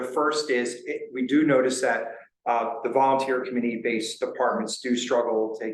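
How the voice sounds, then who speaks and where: Here a man speaks with a New Jersey accent. Audible room echo surrounds his voice. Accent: New Jersey American. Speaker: county emergency services official. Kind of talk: public meeting presentation. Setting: town board meeting. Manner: fast.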